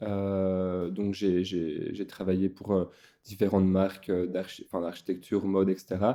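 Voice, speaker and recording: A man with a Belgian accent speaks fairly slowly in a very deep, low, dark, mellow voice with monotone, flat intonation. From Belgium. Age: 20s. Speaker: tattoo artist. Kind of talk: casual interview chat. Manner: hesitant, many fillers.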